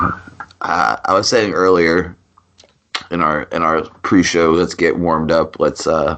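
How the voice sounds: A raspy put-on character voice, fairly slow, with fairly even intonation. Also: man, very deep, low pitch for a man.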